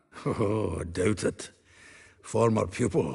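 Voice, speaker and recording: A man uses a put-on character voice with a slight Scottish accent, raspy and fairly low in pitch, at a fairly slow pace. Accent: Scottish-tinged. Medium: video game. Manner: blunt, earthy.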